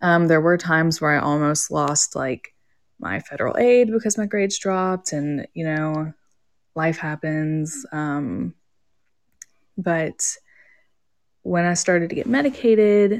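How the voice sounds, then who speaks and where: A woman with an American accent speaks at a fairly slow pace in a normal speaking voice, her pitch fairly low and her intonation lively. The recording is very clean, with a silent background. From Georgia, US South. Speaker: psychology graduate student. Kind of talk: interview.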